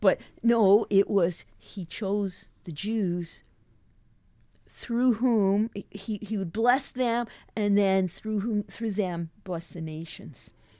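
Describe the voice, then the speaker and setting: A woman with a Western Canadian accent speaks at a very slow pace in a dark, mellow tone. The recording is very clean, with a silent background. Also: medium pitch for a woman, ordinary pitch variation. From southeast British Columbia, Canada. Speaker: missions leader, former missionary. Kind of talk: podcast interview.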